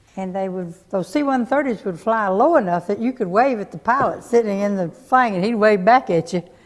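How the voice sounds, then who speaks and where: With a Tennessee accent, a woman speaks at medium pitch and a fairly quick pace. Her intonation is lively, and she hardly pauses at all. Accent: Southern US (Tennessee). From Smyrna, Tennessee. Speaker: local resident sharing memories. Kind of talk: oral history group conversation.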